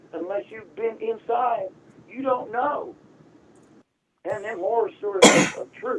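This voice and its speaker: A man with an American accent and an extremely high pitch, at a fairly slow pace, with lively intonation, big swings in loudness, and long, frequent pauses. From Tampa, Florida (US South). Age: 60s. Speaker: caller. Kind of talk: call-in talk.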